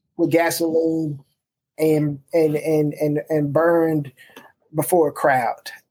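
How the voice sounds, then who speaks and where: Speaking very slowly with an American accent, a man has a fairly high pitch. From Memphis, Tennessee, US South. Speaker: pastor and author. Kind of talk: interview.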